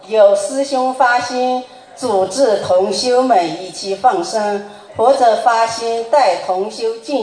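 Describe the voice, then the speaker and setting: Over noticeable background noise, a woman speaks at a very slow pace in a fairly high pitch. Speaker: representative of a Buddhist study group asking questions. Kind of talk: reading prepared questions aloud.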